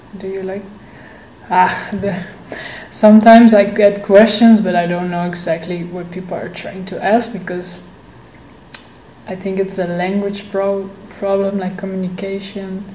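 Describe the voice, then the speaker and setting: A woman with a Dutch accent talks at a medium pitch and a fairly slow pace. Audible room echo and noticeable background noise surround her. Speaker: vlogger. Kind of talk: casual Q&A vlog. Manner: halting.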